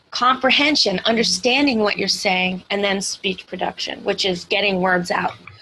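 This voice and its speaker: A woman at medium pitch with ordinary pitch variation, a moderate pace, hardly any pauses, and noticeable background noise. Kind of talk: mentoring feedback call; role-play consultation. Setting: call. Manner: loud.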